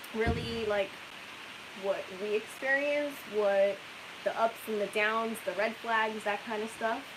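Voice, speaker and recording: A soft-spoken woman at a fairly high pitch and fairly slow pace, with fairly even intonation, amid noticeable background noise. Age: young. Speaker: RV travel vlogger. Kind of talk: live stream chat.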